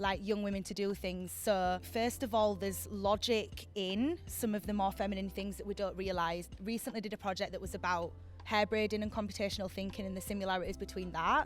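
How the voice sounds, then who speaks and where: A woman with a Yorkshire accent at a fairly quick pace with hardly any pauses, music in the background. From Yorkshire, northern England. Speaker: university lecturer. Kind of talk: interview conversation. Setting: on location in Camden. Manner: casual, frequent 'like' fillers.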